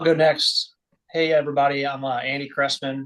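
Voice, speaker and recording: A man with an unremarkable speaking voice, medium in pitch, at a moderate pace. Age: 30s. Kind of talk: panel discussion.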